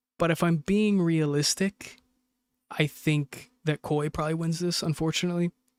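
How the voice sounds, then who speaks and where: With an American accent, a man speaks in a high pitch at a moderate pace, his intonation monotone and flat, his loudness very even, and the sound dry and close with no echo. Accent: sounds American. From UAE. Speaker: esports co-streamer. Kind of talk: live commentary. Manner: casual, rambling with filler sounds.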